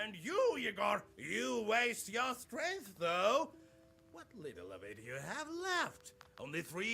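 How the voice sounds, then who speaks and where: A man puts on a high-pitched character voice and speaks at a fairly slow pace. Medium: video game.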